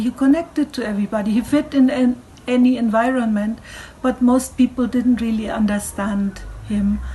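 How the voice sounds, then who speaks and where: A woman with a German accent speaks at a moderate pace in a fairly high pitch, over noticeable background noise. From Germany. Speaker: cultural speaker. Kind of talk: online talk.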